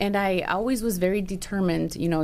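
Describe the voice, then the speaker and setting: The speech comes at a very fast pace, its intonation fairly even. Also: woman. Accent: Spanish. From Chicago, Little Village (Mexican-born, moved at five). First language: Spanish. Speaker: financial planner. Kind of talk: podcast interview.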